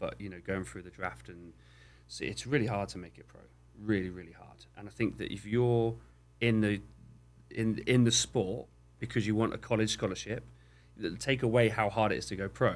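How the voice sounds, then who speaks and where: With vocal fry and lively intonation, a man speaks fairly low at a moderate pace, leaving long, frequent pauses. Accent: southwest English. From southwest England. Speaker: youth soccer coach. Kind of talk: casual interview chat.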